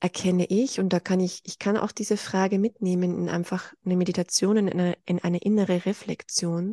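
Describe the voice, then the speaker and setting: At a moderate pace and medium pitch, a woman speaks with a dark, mellow tone in a monotone, flat manner, with a dry, close sound without echo and a quiet background. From Austria. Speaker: spiritual guide. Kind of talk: interview. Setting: video call.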